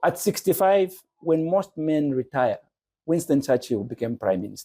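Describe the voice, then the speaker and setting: This man has a dark, mellow tone and lively intonation, recorded with a dry, close sound and no echo. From Zambia, Lusaka. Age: 60s. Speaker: businessman and church teacher. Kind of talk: podcast interview.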